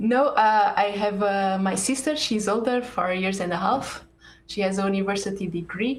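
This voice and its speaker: The pitch varies in an ordinary way. Audible room echo surrounds the voice. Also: woman, medium pitch for a woman, moderate pace. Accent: Portuguese. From Portugal, Porto. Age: 30s. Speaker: computer science professor. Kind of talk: interview. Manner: hesitant, many fillers.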